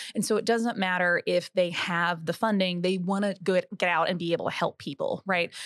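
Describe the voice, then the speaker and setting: A woman with an American accent speaks in a normal speaking voice at medium pitch, fairly quickly, with hardly any pauses, fairly even intonation and very even loudness. The recording is very clean, with a silent background and a dry, close sound with no echo. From southeastern Oklahoma, Choctaw Nation. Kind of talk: interview. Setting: on location at a conference.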